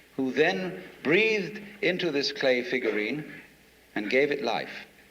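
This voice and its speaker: A man with a British accent speaks in a fairly high, bright, sharp voice with vocal fry. His pitch swings very widely, and his pace is fairly slow. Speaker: philosopher. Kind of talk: philosophical lecture.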